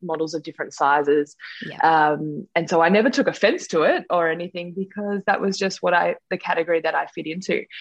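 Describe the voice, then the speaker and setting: Here is a woman with an Australian accent. Her intonation stays fairly even. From Australia, Sutherland Shire in New South Wales. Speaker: scientist, model and reality show contestant. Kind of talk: interview.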